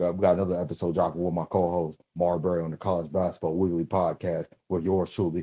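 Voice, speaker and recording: Over a quiet background, a man talks at a fairly quick pace with hardly any pauses, his very deep, low pitch carrying a dark, mellow tone. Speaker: basketball podcast host. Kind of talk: sports analysis commentary. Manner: fast; animated.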